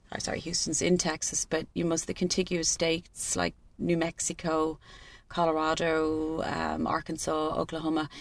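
A woman with a very deep, low pitch at a moderate pace. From Ireland, Cork. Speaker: Ireland travel tour organiser. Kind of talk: interview. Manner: animated.

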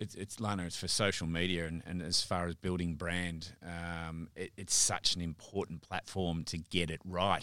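In an Australian accent, a man with a very deep, low pitch and a bright, sharp tone speaks at a moderate pace in a monotone, flat way with hardly any pauses, on a very clean recording with a silent background. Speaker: podcast host, media agency director. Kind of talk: casual interview.

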